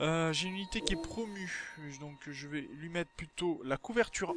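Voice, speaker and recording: This man's voice sits at a high pitch. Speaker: gaming video creator. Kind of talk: let's play commentary. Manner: casual, hesitant with fillers.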